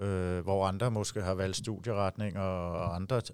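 A man's fairly low voice at a fairly slow pace, fairly even in intonation, on a very clean recording with a silent background. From Denmark, Herlev (Copenhagen area). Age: 40s. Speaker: handball head coach. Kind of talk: interview. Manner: halting, many fillers and repetitions.

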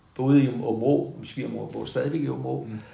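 A man's voice with audible room echo. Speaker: retired school principal. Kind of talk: casual interview. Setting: at home in the countryside. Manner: halting, many repetitions.

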